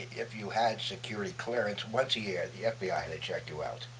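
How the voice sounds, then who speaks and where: A man speaks at a moderate pace in an American accent, with noticeable background noise present. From Brooklyn, New York. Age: 80s+. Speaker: war veteran, photojournalist. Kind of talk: interview answer.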